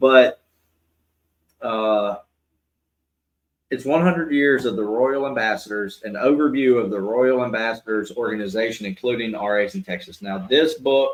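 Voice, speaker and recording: Speaking with a Southern US accent, a man has a medium pitch and ordinary pitch variation. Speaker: podcast co-host, church boys' group teacher. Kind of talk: casual chat.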